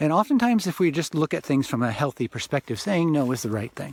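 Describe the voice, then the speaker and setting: Here a man is talking. His pace is fairly quick. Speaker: author and spiritual teacher. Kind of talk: informal spiritual talk. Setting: outdoors. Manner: loud; halting, with repetitions.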